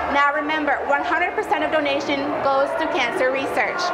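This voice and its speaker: Over noticeable background noise, a woman with a high pitch talks at a fairly quick pace, her loudness very even. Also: ordinary pitch variation. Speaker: journalist, reporter and anchor. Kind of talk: TV news field report.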